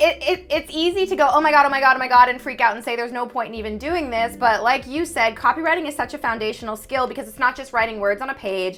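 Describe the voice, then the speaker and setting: A woman sounds animated, her pitch high and her intonation lively. She talks at a very fast pace. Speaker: copywriter and YouTube host. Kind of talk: casual interview chat.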